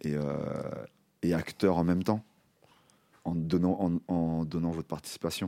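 A man's voice sits very deep and low, with a dark, mellow tone. He leaves long, frequent pauses. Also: fairly slow pace. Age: older than guests. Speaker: radio workshop host. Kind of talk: hosted discussion. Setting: studio. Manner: halting, many repetitions.

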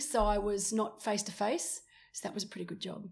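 At a very fast pace, a woman with an Australian accent speaks in a bright, sharp tone. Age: 40s. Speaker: retired pro triathlete and commentator. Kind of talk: casual chat. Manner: animated.

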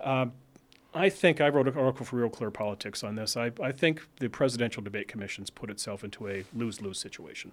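A man speaks at a very fast pace with an American accent. His pitch is medium, with ordinary variation. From northern Virginia, US. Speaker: podcast host, research fellow. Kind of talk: interview. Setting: studio.

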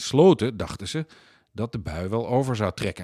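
The man has an unremarkable speaking voice with lively intonation at a moderate pace. The sound is dry and close, with no echo. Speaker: magazine editor-in-chief and podcast host. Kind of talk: podcast introduction and outro, scripted-sounding narration. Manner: formal, clear, storytelling.

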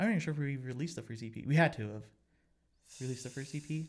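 Someone talks at a very fast pace in an American accent, somewhat breathy, with ordinary pitch variation. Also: man. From Colorado (Pueblo). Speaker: musician. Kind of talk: casual chat.

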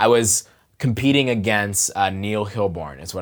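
A man with an American accent speaks in an ordinary speaking voice at a fairly low pitch. His pitch variation is ordinary, and the recording is very clean with a silent background. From Pittsburgh, US. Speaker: poet and teacher. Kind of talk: interview conversation. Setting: podcast booth in shared workspace.

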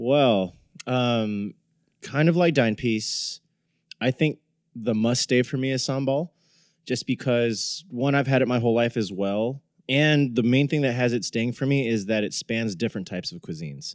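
A man with a normal speaking voice talks at a moderate pace, using a medium pitch and ordinary pitch variation. The recording is very clean with a silent background, in a dry, close sound with no echo. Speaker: podcast host. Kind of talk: casual chat.

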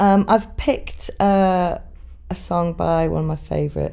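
With a north Welsh accent, a woman speaks at a very slow pace. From Wales. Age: 30s. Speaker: folk musician. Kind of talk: casual interview.

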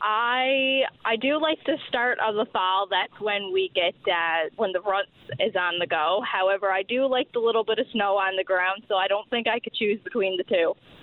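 A woman with a Newfoundland accent, medium pitch, ordinary pitch variation, very even loudness and a moderate pace. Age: young. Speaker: youth hunter. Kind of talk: radio interview.

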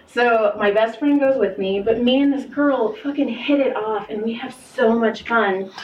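Over noticeable background noise, a woman with a fairly high pitch talks with hardly any pauses and fairly even intonation. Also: moderate pace. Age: 30s. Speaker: podcast host and massage therapist. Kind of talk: casual chat.

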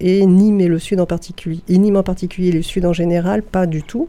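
This woman's voice sits at a fairly low pitch. It has a dark, mellow tone. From Paris area. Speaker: librarian. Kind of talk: radio interview. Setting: radio studio, live. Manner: halting.

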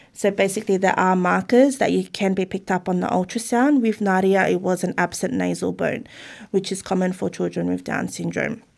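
The recording is very clean, and the background is silent. A woman talks in an Australian accent. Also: fairly quick pace. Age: 30s. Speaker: parent of a child with Down syndrome. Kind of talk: interview.

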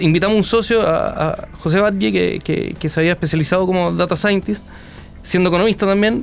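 Speaking at a fairly quick pace, this man has a high pitch. His pitch variation is ordinary. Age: 30s. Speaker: economist and entrepreneur. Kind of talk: interview. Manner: halting.

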